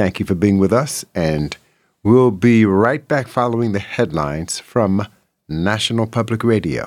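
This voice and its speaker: On a very clean recording with a silent background, a man with an unremarkable speaking voice, fairly low pitch and lively intonation talks at a moderate pace. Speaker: radio host. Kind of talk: radio DJ patter, warm late-night jazz show host. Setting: studio. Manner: relaxed, conversational, easygoing.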